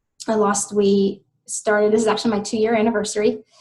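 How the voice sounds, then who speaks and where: This woman speaks with a fairly high pitch. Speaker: health coach and business trainer. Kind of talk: online training webinar. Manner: fast.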